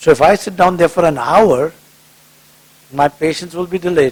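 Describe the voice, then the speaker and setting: A man speaks at a fairly high pitch and a moderate pace, with ordinary pitch variation. The sound is dry and close with no echo, and there is noticeable background noise. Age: 60s. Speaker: cardiologist. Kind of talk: public talk with Q&A. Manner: conversational.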